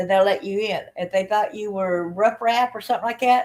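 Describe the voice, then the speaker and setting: A woman with a Southern US accent speaks at medium pitch and a moderate pace, her intonation fairly even. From Alabama. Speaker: channel host and abuse survivor. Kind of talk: livestream personal testimony. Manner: casual, chatty.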